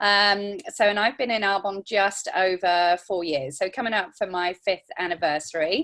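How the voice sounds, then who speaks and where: Against a quiet background, a woman speaks at a moderate pace and medium pitch, with ordinary pitch variation and hardly any pauses. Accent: English. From England. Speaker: network marketing consultant. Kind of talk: testimony.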